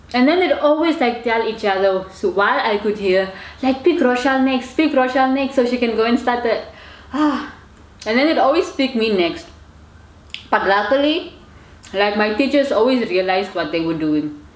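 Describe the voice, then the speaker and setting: At a moderate pace, a woman with a high pitch and very wide pitch swings keeps her loudness very even, with audible room echo and noticeable background noise. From Namibia. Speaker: YouTuber. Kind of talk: casual chat. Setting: eating on camera. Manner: stutters when angry or about to cry; repetitive, halting phrasing.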